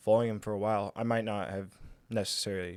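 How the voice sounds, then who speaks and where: A man talks at a fairly quick pace in a fairly low pitch with monotone, flat intonation. The recording is very clean, with a silent background. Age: 20s. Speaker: young father and host's son. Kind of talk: casual conversation on current events.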